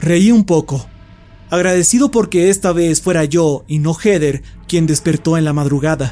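Using a dramatic tone, a man with a fairly high pitch shows ordinary pitch variation. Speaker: horror story narrator. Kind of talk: scripted narration, creepypasta horror reading, hushed and suspenseful. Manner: slow, hushed, tense pacing with dramatic pauses; first-person narration with a fearful, whispery intensity.

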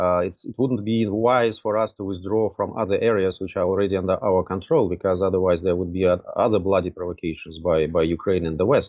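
With a Russian accent, this man speaks at a fairly quick pace in a very deep, low voice with fairly even intonation. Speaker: diplomat. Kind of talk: political interview. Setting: remote call. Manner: hesitant, many filler sounds.

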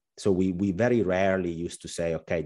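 Against a quiet background, a man with an Italian accent speaks at a moderate pace in a very deep, low voice with fairly even intonation. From southern Italy. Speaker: finance professional, trader. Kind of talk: casual interview.

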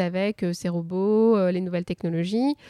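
A woman's dark, mellow tone at a moderate pace with ordinary pitch variation, on a very clean recording with a silent background. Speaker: neuroscience researcher. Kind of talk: live panel discussion. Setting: stage with live audience. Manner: halting, many repetitions.

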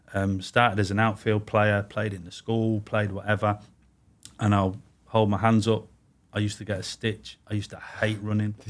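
Over a silent background on a very clean recording, a man in an English Midlands accent speaks at a moderate pace in a fairly low, monotone voice with flat intonation. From English Midlands (Warwick, Leamington). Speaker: goalkeeping coach, former pro goalkeeper. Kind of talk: casual interview.

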